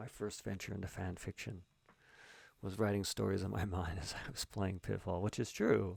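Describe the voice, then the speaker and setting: The voice carries vocal fry and keeps a fairly even intonation. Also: man, very deep, low pitch for a man, moderate pace. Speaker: writer and streamer. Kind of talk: live-streamed writing session, thinking aloud. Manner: halting, thinking aloud; mumbling.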